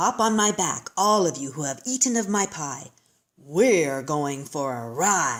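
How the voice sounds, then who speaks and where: This put-on character voice sounds female, sitting at a middle pitch and moving at a fairly slow pace while growling and bellowing. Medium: read story. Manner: roaring.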